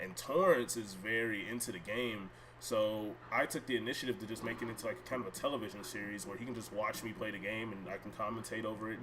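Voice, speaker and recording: Over noticeable background noise, a man at medium pitch races along at a very fast pace with hardly any pauses and ordinary pitch variation. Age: 20s. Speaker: gaming streamer. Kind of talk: casual live stream chat. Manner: rambling, many fillers.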